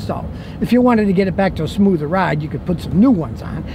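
A man speaks over noticeable background noise. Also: dry sound with no echo. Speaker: auto mechanic reviewer. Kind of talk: casual car review commentary. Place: car.

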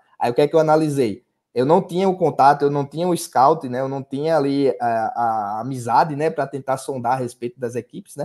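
Against a quiet background, a man talks at a fairly quick pace with hardly any pauses, his fairly high pitch showing ordinary variation. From Brazil, Paraíba (Sapé, near João Pessoa); Paraíba, Brazil. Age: 30s. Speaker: sports betting tipster; podcast guest. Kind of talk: casual interview chat. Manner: halting, many fillers and repetitions. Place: home room. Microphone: earbuds.

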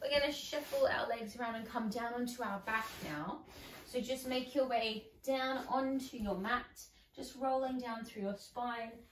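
Audible room echo around a woman speaking at a fairly slow pace. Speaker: exercise instructor. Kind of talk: guided exercise instruction. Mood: calm, encouraging. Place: home room. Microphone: camera far.

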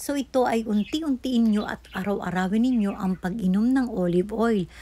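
A woman's somewhat breathy, fairly high voice with a dark, mellow tone, moderate pace and ordinary pitch variation. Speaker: health tips vlogger. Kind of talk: vlog tutorial. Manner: hesitant, frequent uh fillers.

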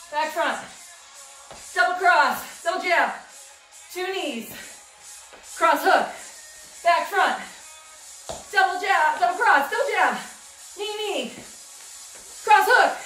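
A woman's raised, projected voice at a very slow pace, with long, frequent pauses, ordinary pitch variation, audible room echo and faint music in the background. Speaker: fitness instructor. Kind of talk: workout instruction. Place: home room. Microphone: camera far.

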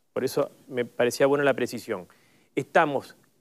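Here a man talks at a fairly high pitch. He moves at a fairly slow pace. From Uruguay. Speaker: politician. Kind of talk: panel discussion. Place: studio.

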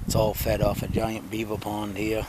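A man's fairly low voice at a moderate pace, with a dry sound, no echo and noticeable background noise. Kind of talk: casual vlog chat. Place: forest. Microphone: phone near.

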